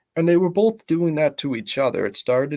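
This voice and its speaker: On a very clean recording with a silent background, a soft-spoken man talks with ordinary pitch variation. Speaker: YouTuber. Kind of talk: commentary vlog. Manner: halting.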